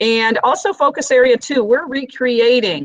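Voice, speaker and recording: A woman speaks with very wide pitch swings. The sound is dry with no echo, and the background is quiet. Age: 50s. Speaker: instructional coach; presenter. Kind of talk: online teacher training workshop. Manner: fast. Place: office. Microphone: webcam.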